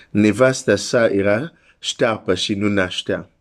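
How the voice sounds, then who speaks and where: This man has a normal speaking voice with a fairly low pitch and fairly even intonation, heard on a very clean recording with a silent background. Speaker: preacher. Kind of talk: sermon. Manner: earnest, pleading preacher's delivery, urging listeners to seek God; direct, warm address to the listener.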